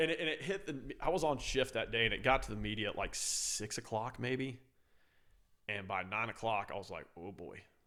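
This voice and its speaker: A loud, animated man at a medium pitch, with vocal fry. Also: lively intonation, moderate pace. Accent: American. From San Francisco, California, then Louisiana. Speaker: firefighter. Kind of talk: casual chat.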